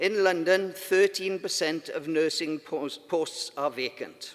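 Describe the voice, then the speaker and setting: A man with a Welsh accent talks at a fairly slow pace and a high pitch. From Wales. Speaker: union conference delegate. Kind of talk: conference speech.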